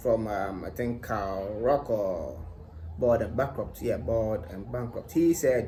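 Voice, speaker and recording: With a Ghanaian accent, a man sounds somewhat breathy over audible room echo. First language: Twi. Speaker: language-learning YouTuber. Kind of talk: casual vlog tutorial.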